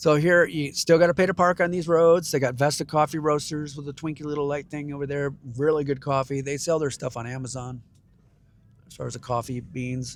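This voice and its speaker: A man's normal speaking voice with an American accent, fairly high in pitch, fairly quick in pace, with fairly even intonation and big swings in loudness. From Michigan. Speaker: travel vlogger. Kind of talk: casual driving vlog narration. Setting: in a car.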